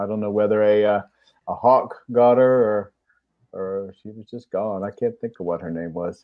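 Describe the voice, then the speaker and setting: A man with a German accent talks at a fairly low pitch, with fairly even intonation. His loudness swings a great deal. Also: moderate pace. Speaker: chicken keeper, show host. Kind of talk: casual chat.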